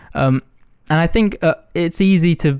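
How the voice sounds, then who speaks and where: In a very clean recording with a silent background, a man speaks in a dark, mellow tone. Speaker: podcast host. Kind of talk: solo outro monologue; casual interview chat. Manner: animated.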